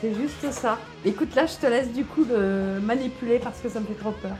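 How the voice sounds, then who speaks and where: The speaker talks at a fairly quick pace in a playful, upbeat tone with ordinary pitch variation, music playing in the background. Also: woman, fairly high pitch for a woman. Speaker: voice actor. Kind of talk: casual talk to camera.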